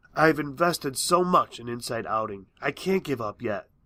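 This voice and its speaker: In a put-on character voice, a man talks at a moderate pace with a raspy, fairly high pitch and lively intonation, the sound dry and close with no echo. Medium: read story.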